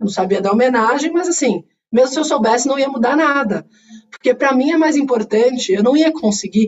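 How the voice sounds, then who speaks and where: The delivery is fairly quick. Its intonation is lively. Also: woman, high pitch for a woman. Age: 40s. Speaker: corporate executive. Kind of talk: interview. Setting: video call.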